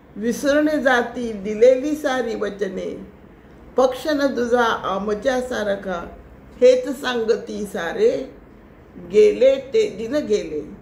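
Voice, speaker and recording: Against noticeable background noise, a woman speaks in a high voice with ordinary pitch variation. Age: 80s+. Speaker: poet. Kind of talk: poetry reading.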